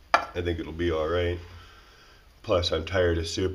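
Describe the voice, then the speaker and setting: Noticeable background noise and audible room echo surround a man whose very deep, low voice stays monotone and flat. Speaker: DIY outdoors channel host. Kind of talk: tutorial. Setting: cold workshop. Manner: casual.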